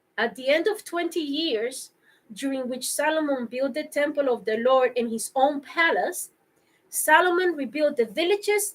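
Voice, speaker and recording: A shaky, high woman's voice with lively intonation at a moderate pace. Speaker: bible reading vlogger. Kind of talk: reading aloud. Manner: shaky voice.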